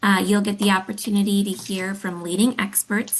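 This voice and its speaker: A woman talks at a moderate pace with ordinary pitch variation. Noticeable background noise sits behind her. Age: 30s. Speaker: arts agency accessibility director. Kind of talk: webinar introduction. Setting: online webinar.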